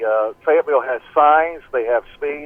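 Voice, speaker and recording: Speaking with a Southern US accent, a man keeps a moderate pace at a fairly high pitch. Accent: US South (Tennessee). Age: 60s. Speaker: play-by-play radio broadcaster. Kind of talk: phone interview. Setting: phone call.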